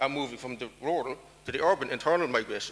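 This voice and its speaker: A man with an Irish accent speaks very fast at a fairly high pitch, with ordinary pitch variation. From Ireland. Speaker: diaspora policy expert. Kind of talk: conference talk.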